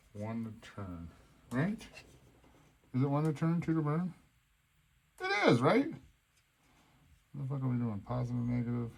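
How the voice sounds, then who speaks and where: This man mumbles with lively intonation. He leaves long, frequent pauses. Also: medium pitch for a man, moderate pace. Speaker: RC hobby video maker. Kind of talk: casual build tutorial. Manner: mumbling.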